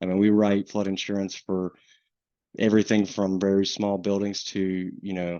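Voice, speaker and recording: With a Southern US accent, a man speaks at a moderate pace in a fairly low, monotone voice with flat intonation. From US South, coastal North Carolina. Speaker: insurance underwriting manager. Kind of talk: webinar presentation. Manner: casual, many fillers.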